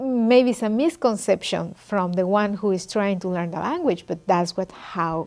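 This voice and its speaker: Lively intonation with a non-native accent, at a fairly slow pace. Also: woman. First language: not English. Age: adult. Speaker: immigrant interviewee. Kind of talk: interview testimony.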